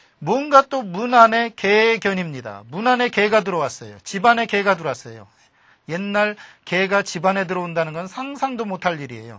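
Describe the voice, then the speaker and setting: The speech comes at a moderate pace in a Chungcheong accent. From Chungcheong, Korea.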